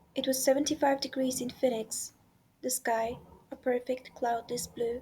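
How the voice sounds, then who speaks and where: A woman speaks at a moderate pace in a high pitch. Her tone is dark and mellow, and her intonation is monotone and flat. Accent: non-native. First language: not English. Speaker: amateur audiobook reader. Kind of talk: audiobook narration. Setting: home recording with background noise.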